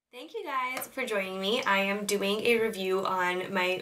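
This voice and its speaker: Noticeable background noise sits behind a woman speaking at a medium pitch. Her pitch varies normally. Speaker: beauty vlogger. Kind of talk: product review.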